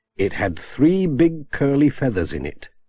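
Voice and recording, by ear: A man speaks at a slow pace with a slightly husky edge and a slightly mellow tone.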